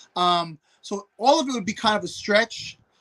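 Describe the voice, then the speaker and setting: A man with a New York accent, raised and projected, in a bright, sharp tone with ordinary pitch variation. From New York City. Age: 40s. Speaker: hunter and former pro football player. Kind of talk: casual podcast interview. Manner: repetitive stammering.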